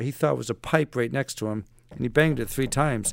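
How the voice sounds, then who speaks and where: A man talks at a very fast pace, his medium pitch moving with ordinary variation. The sound is dry and close, with no echo. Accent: American. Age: 60s. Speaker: retired navy special forces operator and author. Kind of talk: casual interview.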